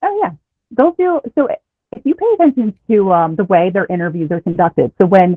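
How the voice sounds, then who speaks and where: Talking at a fairly quick pace with an American accent, a woman swings her pitch very widely. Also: medium pitch for a woman. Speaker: former reality show contestant. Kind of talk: casual interview chat.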